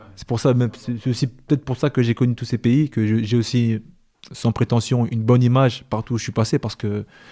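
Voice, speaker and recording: The intonation of this man stays fairly even. He talks at a medium pitch. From France, Île-de-France (Paris region). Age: 30s. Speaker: former professional footballer. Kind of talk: podcast interview. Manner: casual, hesitant with repetitions.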